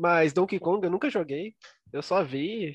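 The speech comes at a fairly slow pace, recorded dry and close with no echo against a quiet background. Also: man. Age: 20s. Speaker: podcast co-host. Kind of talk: casual chat.

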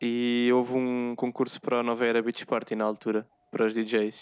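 On a very clean recording with a silent background, a man at medium pitch sounds dry and close, with no echo. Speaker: podcast co-host, photographer. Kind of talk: casual chat.

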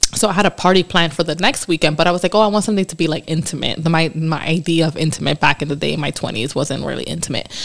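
Through noticeable background noise, a woman with a fairly low pitch speaks at a very fast pace with hardly any pauses. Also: ordinary pitch variation. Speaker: podcast co-host. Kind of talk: casual chat. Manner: giggly, uses 'like' a lot.

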